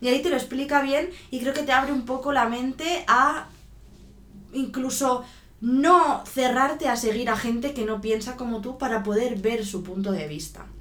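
Noticeable background noise and audible room echo surround the recording. A woman speaks at a moderate pace in a high pitch. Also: ordinary pitch variation. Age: 30s. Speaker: podcast co-host. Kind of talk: casual chat.

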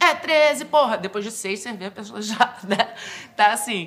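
This woman's intonation is lively. She keeps to a moderate pace. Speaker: actress and comedy writer. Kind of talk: testimony.

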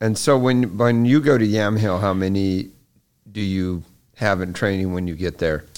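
In a normal speaking voice, a man with a fairly low pitch talks at a moderate pace with ordinary pitch variation. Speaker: podcast co-host. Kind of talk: casual interview chat.

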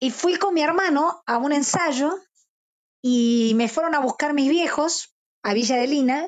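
A woman with a high pitch speaks at a fairly slow pace in a Rioplatense accent, with ordinary pitch variation and very even loudness. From Argentina, Buenos Aires suburbs. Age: 50s. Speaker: rock musician. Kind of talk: interview. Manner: talkative.

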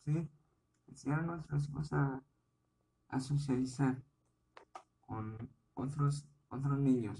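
A somewhat breathy, dark, mellow voice at a very slow pace, with fairly even intonation and long, frequent pauses. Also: man, fairly high pitch for a man. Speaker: podcast host, parent. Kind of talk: solo informational podcast monologue. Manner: careful, deliberate; hesitant, with repetitions.

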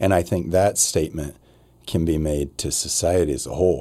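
In a very clean recording with a silent background, a man with an American accent speaks at a moderate pace, his very deep, low voice dark and mellow, with vocal fry and ordinary pitch variation. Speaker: podcast host. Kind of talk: casual interview chat.

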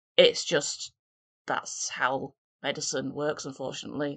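The speaker is a woman. The sound is dry and close with no echo. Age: 30s. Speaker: podcast host. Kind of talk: solo podcast monologue.

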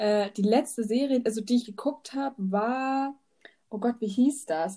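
With a dark, mellow tone and a fairly high pitch, a woman speaks at a moderate pace with ordinary pitch variation. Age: 20s. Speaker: teaching student and podcast host. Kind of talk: casual chat. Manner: hesitant, many fillers.

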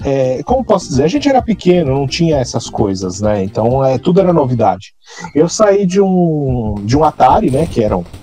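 A fairly high-pitched man talks at a moderate pace, his pitch swinging very widely, with noticeable background noise behind him. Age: 30s. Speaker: gaming podcast co-host. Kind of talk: casual chat.

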